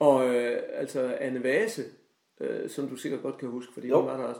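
Keeping a moderate pace, a man's voice shows big swings in loudness. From Denmark, Højbjerg (Aarhus). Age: 60s. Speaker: retired high school teacher. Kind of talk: casual chat. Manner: halting.

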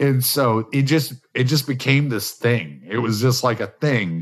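A man speaks in an unremarkable speaking voice at medium pitch with ordinary pitch variation. His pace is fairly slow against a quiet background. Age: 40s. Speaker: podcast host and truck driver. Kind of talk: casual chat. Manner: relaxed.

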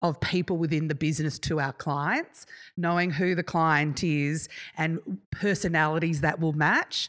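A woman with an Australian accent speaks in a very deep, low pitch on a very clean recording with a silent background. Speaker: event manager. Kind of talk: casual chat. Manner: loud.

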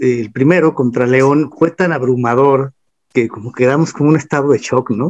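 A man talks in a normal speaking voice at medium pitch with ordinary pitch variation. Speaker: singer-songwriter and football history writer. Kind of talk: casual interview chat.

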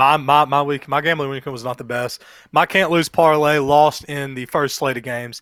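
In a plain, everyday voice, a man with a fairly high pitch speaks at a moderate pace and fairly even intonation. His loudness swings widely. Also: very clean recording, silent background. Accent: American. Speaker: sports podcast co-host. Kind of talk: casual chat.

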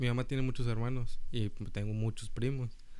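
A man with a medium-pitched voice and a dark, mellow tone speaks with monotone, flat intonation in a room with audible echo. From US South, Rio Grande Valley, Texas. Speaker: podcast co-host, university student. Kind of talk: casual chat.

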